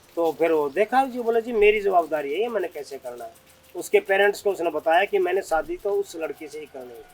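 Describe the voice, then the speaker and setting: At a moderate pace, a man speaks with a high pitch and big swings in loudness. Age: 60s. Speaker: retired army officer, yoga guru. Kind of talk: interview answer.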